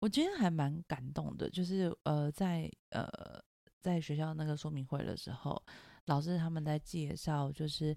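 Very deep, low female voice with a dark, mellow tone, fairly even intonation and a fairly slow pace, in a very clean recording with a silent background. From Taiwan (Taipei). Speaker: podcast host, mother, psychology background. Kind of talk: casual chat.

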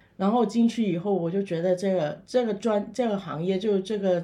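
Amid noticeable background noise, a woman's voice shows ordinary pitch variation. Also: hardly any pauses. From Macau. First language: Cantonese (speaking Chinese). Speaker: funeral director and paranormal YouTuber. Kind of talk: interview.

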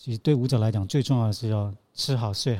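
A man speaks at a fairly quick pace and medium pitch, somewhat breathy, with ordinary pitch variation. The recording is very clean with a silent background. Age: 50s. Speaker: choreographer. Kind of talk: casual interview.

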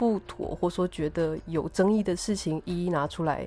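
The woman's voice sits at a fairly low pitch. Its tone is dark and mellow. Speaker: podcast host and architect. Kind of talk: casual interview chat. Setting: remote recording.

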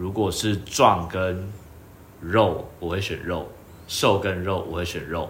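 Very deep and low, a man's somewhat breathy voice moves at a very slow pace with fairly even intonation. Long, frequent pauses break up his speech, and room echo is audible. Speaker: podcast co-host. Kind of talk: casual chat.

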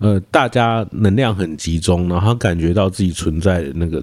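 A man's very deep, low pitch carries his words at a moderate pace. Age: 30s. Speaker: podcast host. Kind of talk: casual chat. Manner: halting.

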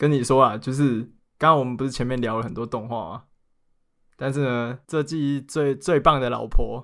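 Over a silent background in a very clean recording, a man of medium pitch talks at a moderate pace with fairly even intonation and big swings in loudness. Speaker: anime podcast co-host. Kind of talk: casual chat.

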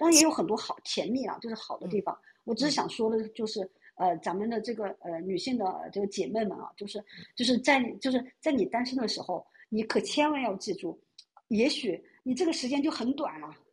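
Fairly high in pitch and somewhat breathy, a woman speaks at a fairly quick pace with lively intonation. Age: 30s. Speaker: caller. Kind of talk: casual chat.

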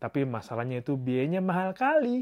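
The background stays quiet. Over it, a man's dark, mellow tone moves at a fairly quick pace. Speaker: solo podcaster, psychology graduate. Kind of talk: casual monologue. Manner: informal, chatty.

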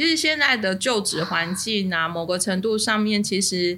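At a moderate pace, a woman speaks with a medium pitch and lively intonation. The recording is very clean, the background silent. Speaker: podcast co-host. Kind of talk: casual chat. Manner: animated.

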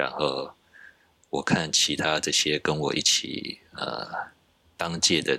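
A man speaks very slowly in a very deep, low pitch with vocal fry. His intonation is monotone and flat, with long, frequent pauses. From Taiwan. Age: 40s. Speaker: software engineer. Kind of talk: casual interview chat.

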